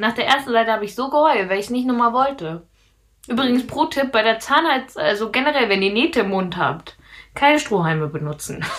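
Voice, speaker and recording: Talking at a fairly quick pace, a woman uses a fairly high pitch with very wide pitch swings. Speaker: podcast co-host. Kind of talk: casual chat.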